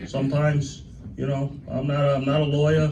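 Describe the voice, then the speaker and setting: Amid audible room echo, a man talks with fairly high pitch. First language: Italian (Sicilian). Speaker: union president. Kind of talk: speech to members at a celebration. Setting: union hall event with audience. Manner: informal, repetitive.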